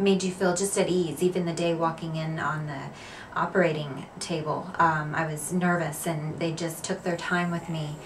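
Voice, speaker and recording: The speaker keeps a moderate pace in a monotone, flat intonation. Noticeable background noise is present. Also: woman, fairly low pitch for a woman. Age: 40s. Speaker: cosmetic surgery patient. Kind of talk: patient testimonial. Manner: casual, hesitant with fillers.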